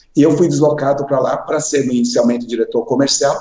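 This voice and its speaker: An unremarkable speaking voice from a man, moderate in pace, with fairly high pitch and ordinary pitch variation. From Paraná, southern Brazil. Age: 60s. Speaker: finance executive, association president. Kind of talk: interview.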